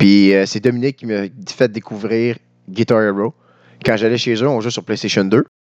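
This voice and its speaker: A man's normal speaking voice, medium in pitch, with fairly even intonation and a moderate pace, recorded dry and close with no echo against a quiet background. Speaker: podcast co-host, musician. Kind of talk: casual chat.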